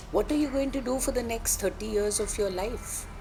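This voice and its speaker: Music plays in the background. A woman speaks at a fairly high pitch. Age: 60s. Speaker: company founder. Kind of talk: interview.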